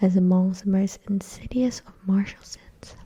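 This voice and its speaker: At a fairly slow pace, the voice comes across as soft-spoken. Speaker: ASMR creator. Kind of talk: reading aloud; casual chat.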